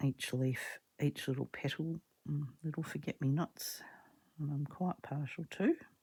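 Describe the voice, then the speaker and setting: Soft-spoken and somewhat breathy, this woman talks at a fairly slow pace in a very deep, low voice with a dark, mellow tone and fairly even intonation. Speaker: craft video creator. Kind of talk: casual crafting tutorial. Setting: home art room.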